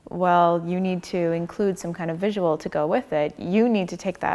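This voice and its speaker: A woman with a Canadian accent and an unremarkable speaking voice, fairly low in pitch, with fairly even intonation at a moderate pace. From Canada. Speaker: designer and tech startup co-founder. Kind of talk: onstage interview. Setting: church stage with audience.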